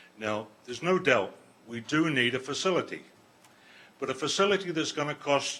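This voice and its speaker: With noticeable noise behind him, a man keeps a moderate pace as he talks. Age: 70s. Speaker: resident speaking at council meeting. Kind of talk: public comment.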